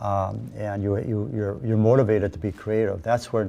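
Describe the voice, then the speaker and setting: With an American accent, a man speaks in a fairly low pitch and a dark, mellow tone. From Minnesota, USA. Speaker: polar explorer. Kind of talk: talk to a club audience.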